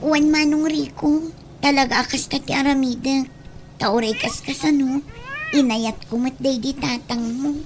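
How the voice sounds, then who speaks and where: A woman's put-on character voice, high-pitched and fairly slow, with fairly even intonation over clear background noise. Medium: audio drama.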